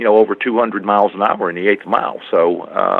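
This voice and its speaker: A man at a moderate pace, medium-pitched, with an American accent. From USA. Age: 60s. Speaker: motorcycle drag racer. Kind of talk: interview. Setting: phone call. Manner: halting.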